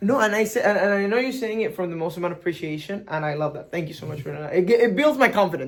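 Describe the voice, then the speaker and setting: A man with a strong Venezuelan accent, high-pitched, very fast with hardly any pauses, and lively intonation. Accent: thick Venezuelan Spanish. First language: Spanish. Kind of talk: casual chat.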